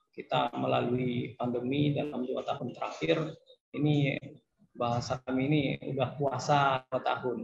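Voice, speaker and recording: At a moderate pace, a man of medium pitch talks in an ordinary speaking voice with fairly even intonation. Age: young. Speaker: young entrepreneur. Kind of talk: webinar panel remarks.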